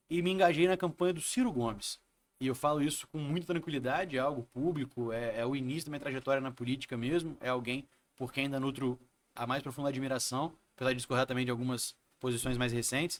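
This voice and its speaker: The pace is very fast. A man delivers his words at a medium pitch. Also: ordinary pitch variation. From Brazil, Espírito Santo (Vitória). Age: 30s. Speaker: city councillor and lawyer. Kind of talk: interview.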